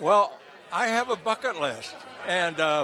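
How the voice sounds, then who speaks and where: A man at a moderate pace with lively intonation, crowd noise in the background. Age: 90s. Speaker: retired racing driver. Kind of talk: interview. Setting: gala event venue. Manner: halting.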